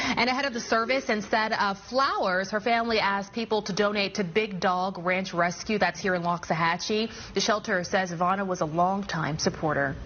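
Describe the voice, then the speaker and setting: Against noticeable background noise, a woman speaks at a fairly quick pace with hardly any pauses, medium pitch and ordinary pitch variation. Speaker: news anchor. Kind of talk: TV news anchor read.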